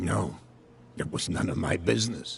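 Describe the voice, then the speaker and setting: A raspy put-on character voice from a man, at a moderate pace, with clear background noise. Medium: video game.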